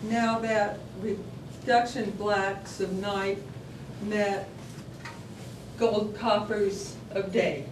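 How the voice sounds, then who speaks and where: At a very slow pace with long, frequent pauses, a woman speaks in a medium-pitched, monotone, flat voice over noticeable background noise. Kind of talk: poetry reading. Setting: live venue.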